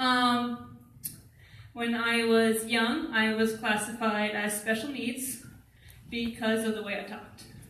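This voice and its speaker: A woman speaks at a very slow pace in a high pitch. Noticeable background noise and audible room echo fill the recording. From Vermont. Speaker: college student. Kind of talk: testimony.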